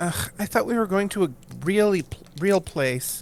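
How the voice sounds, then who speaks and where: A nasal, put-on character voice at a moderate pace. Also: female-sounding voice, medium pitch for a woman. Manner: annoying, complaining.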